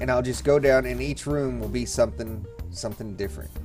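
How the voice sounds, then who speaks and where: A man's voice over music in the background. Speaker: gamer. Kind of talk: casual gameplay commentary.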